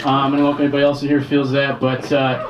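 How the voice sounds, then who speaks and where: Male speech with audible room echo and noticeable background noise. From Detroit, US Midwest. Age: 40s. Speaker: stand-up comedian. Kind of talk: stand-up.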